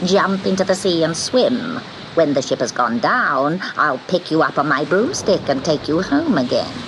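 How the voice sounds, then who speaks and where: Over clear background noise, a put-on character voice at middle pitch moves at a moderate pace. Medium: read story. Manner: sharp, commanding.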